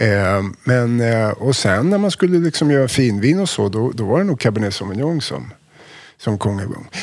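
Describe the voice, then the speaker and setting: This man's voice swings very widely in pitch around a medium level. He talks at a moderate pace. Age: 50s. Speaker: wine importer. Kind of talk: casual chat.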